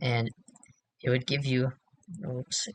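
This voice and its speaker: A man's somewhat breathy voice at medium pitch comes through dry and close, with no echo. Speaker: game modder. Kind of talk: software tutorial. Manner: casual, hesitant.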